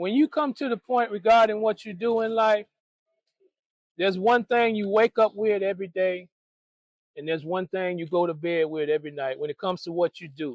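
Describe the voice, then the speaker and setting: A man's high-pitched voice with lively intonation. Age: 60s. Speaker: person experiencing homelessness. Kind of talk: interview answer. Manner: reflective, preacherly.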